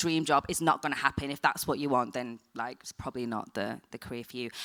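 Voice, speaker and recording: With a strong northern English accent, a woman talks at a fairly quick pace in an animated, bright, sharp tone. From northern England, Blackburn. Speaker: TV production professional. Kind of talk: panel discussion. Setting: stage with audience. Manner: casual, animated.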